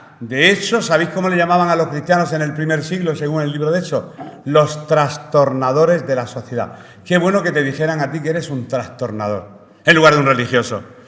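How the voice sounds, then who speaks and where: Fairly high in pitch, a man talks at a fairly quick pace with audible room echo around him. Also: ordinary pitch variation. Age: 60s. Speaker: preacher. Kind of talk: sermon. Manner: halting.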